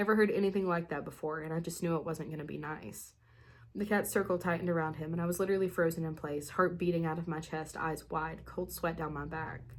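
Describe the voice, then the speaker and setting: Speaking at a very fast pace, a woman with a fairly low pitch shows vocal fry. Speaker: spooky story channel host. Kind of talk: reading aloud. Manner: animated.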